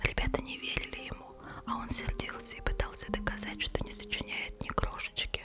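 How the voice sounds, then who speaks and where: Whispering comes at a moderate pace. Noticeable background noise sits behind it. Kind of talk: read story. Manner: whispered.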